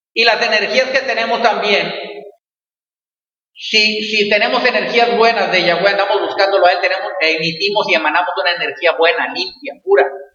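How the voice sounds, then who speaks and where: In a room with audible echo, a man speaks at a high pitch with ordinary pitch variation. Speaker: pastor. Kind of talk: sermon. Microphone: echo in closed room.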